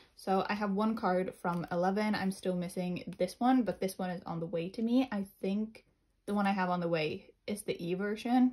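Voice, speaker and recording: A woman's somewhat breathy voice holds a medium pitch. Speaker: collector video creator. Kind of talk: casual show-and-tell.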